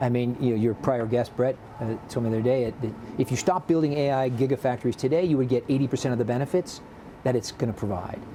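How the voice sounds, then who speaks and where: Noticeable background noise runs under a man with an American accent who talks at a very fast pace. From United States. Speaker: business executive. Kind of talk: TV interview.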